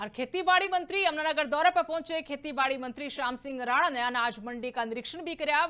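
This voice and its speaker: A woman's raised, projected voice, high in pitch with ordinary pitch variation, in a Haryana accent with hardly any pauses, over noticeable background noise. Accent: Haryanvi. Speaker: news anchor. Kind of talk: regional news bulletin read.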